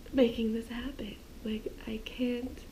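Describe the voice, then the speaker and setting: Speaking at a very slow pace, a woman uses a high pitch and fairly even intonation. Noticeable background noise and audible room echo fill the recording. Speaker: travel vlogger. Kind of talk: casual vlog talk to camera. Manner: whispering.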